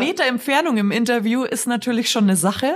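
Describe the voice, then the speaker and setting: A woman speaks with a slight Bavarian accent. The recording is very clean, with a silent background. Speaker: TV presenter. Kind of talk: casual interview.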